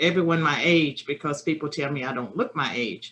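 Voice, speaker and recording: With a Virginia accent, a woman speaks fairly slowly at a fairly low pitch, her tone bright and sharp and her intonation lively. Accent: Southern US (Virginia). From rural Virginia, US. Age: 60s. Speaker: political science professor. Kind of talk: remote lecture. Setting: webinar.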